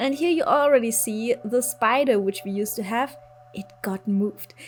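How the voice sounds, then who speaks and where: A woman with a German accent and lively intonation, music playing in the background. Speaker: gaming youtuber. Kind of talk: video game build commentary. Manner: casual, conversational.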